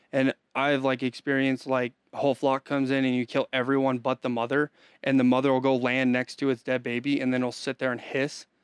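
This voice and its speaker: Against a quiet background, a man talks at a very fast pace in a flat monotone, his loudness very even and the sound dry and close with no echo. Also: medium pitch for a man. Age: 20s. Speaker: hunting guide. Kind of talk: casual chat.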